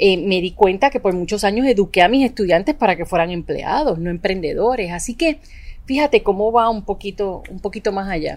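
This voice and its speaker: This woman has an unremarkable speaking voice, medium in pitch, moving at a fairly quick pace with lively intonation. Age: 40s. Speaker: psychologist and entrepreneurship coach. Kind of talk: casual interview.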